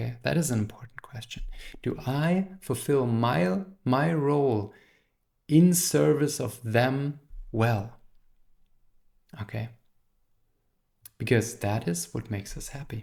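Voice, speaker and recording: A man of medium pitch with a non-native accent, somewhat breathy, with lively intonation, a fairly slow pace and long, frequent pauses. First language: not English. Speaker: therapist and philosophy teacher. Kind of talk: lecture. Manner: halting.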